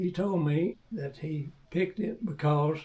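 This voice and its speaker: A man whose voice sits fairly high talks at a fairly slow tempo, with background noise noticeable throughout. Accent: Texan. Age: 80s+. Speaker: classic car owner. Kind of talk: reading prepared statement.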